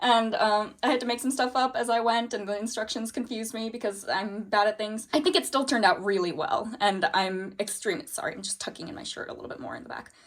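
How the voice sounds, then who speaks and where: A woman speaks at a very fast pace and fairly high pitch, with hardly any pauses and lively intonation. Her loudness swings widely, and there is noticeable background noise. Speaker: sewing vlogger. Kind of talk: casual vlog talk. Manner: animated.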